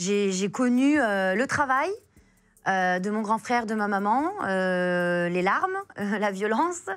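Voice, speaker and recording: With lively intonation and a medium pitch, a woman speaks at a very slow pace over a quiet background. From France, Pakistani family, arrived as baby. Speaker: author, forced-marriage survivor; interview guest. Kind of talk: interview testimony. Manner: hesitant, many fillers. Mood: emotional personal story. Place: studio. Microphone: lapel.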